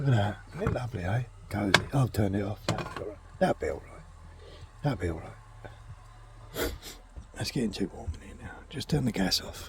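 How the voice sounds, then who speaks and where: A man with a southern English accent at a moderate pace, big swings in loudness, and noticeable background noise. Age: 60s. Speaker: vlogger. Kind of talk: casual vlog monologue.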